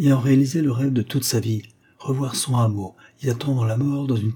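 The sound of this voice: Intonation stays fairly even. The voice reads in an unforced way.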